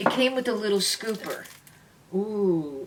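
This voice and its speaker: A woman speaks with a New York accent at medium pitch and a fairly slow pace. Her tone is animated and her intonation lively, with noticeable background noise. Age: 70s. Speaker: beauty vlogger. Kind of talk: product review.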